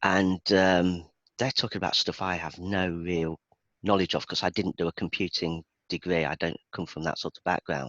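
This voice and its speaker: In a Birmingham accent, a man with a very deep, low pitch talks at a moderate pace with fairly even intonation, the sound dry and close with no echo and the background quiet. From England, Birmingham. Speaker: IT database performance expert. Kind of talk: casual chat.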